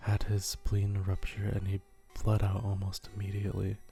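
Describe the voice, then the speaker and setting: Over music in the background, a soft-spoken man with a fairly low pitch speaks at a moderate pace in a monotone, flat intonation. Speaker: horror story narrator and ASMR YouTuber. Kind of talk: horror story reading.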